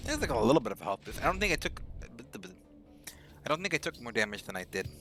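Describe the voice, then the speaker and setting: Over music in the background, a man speaks very fast at a medium pitch with very wide pitch swings. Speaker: video game streamer. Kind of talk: casual gaming livestream chat. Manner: conversational, self-correcting.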